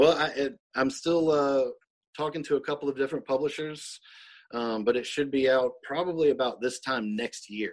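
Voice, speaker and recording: This man's pitch is fairly high. He speaks in a Southern US accent. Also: ordinary pitch variation, moderate pace. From US South, Mississippi. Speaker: author. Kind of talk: casual interview.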